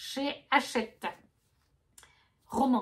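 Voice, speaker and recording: A woman speaks with a high pitch. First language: not French (speaking French). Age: 30s. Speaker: book vlogger. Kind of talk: casual chat. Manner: halting.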